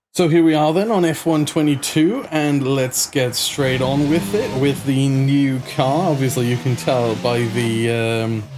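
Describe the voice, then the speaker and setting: Speech runs at a fairly slow pace with hardly any pauses, very even loudness and ordinary pitch variation. Music plays in the background, and room echo is audible. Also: man, fairly high pitch for a man. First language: not English. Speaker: sim racing gaming YouTuber. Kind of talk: gameplay commentary. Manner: casual, conversational with fillers.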